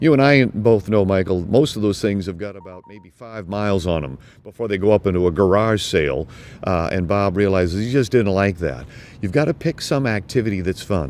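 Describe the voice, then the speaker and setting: In a normal speaking voice, a man talks fairly quickly at a fairly low pitch, with lively intonation and big swings in loudness. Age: 60s. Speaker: health expert. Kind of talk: interview.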